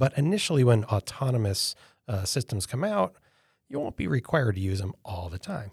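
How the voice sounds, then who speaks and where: Somewhat breathy, the voice makes very wide pitch swings in a very clean recording with a silent background and a dry, close sound with no echo. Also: man. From upstate New York (Elmira). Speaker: futurist, company founder. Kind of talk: interview.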